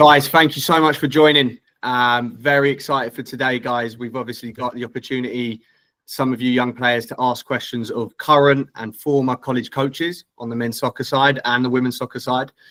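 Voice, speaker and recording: A man's bright, sharp voice, flat and monotone, at a fairly quick pace. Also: medium pitch for a man. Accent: English. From England. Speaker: recruitment director, webinar host. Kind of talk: webinar Q&A hosting. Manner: casual, filler-heavy.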